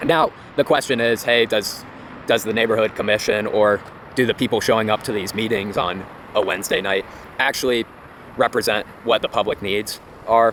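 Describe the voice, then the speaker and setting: Noticeable background noise accompanies a man with a medium pitch. He speaks with fairly even intonation and long, frequent pauses. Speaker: real estate commentator. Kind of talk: casual talk to camera. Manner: fast.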